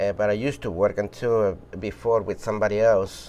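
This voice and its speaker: With a Spanish accent, a man speaks at a medium pitch and a moderate pace. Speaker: shoe repair business owner. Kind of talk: interview testimony.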